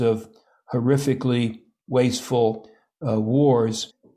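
A man talks with an American accent and fairly even intonation. His tone is dark and mellow. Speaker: historian and think tank president. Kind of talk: interview.

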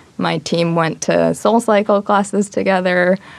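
A woman speaks with an American accent. There is noticeable background noise. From New York, Long Island. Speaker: graduating MBA student. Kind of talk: studio interview. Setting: studio with live audience.

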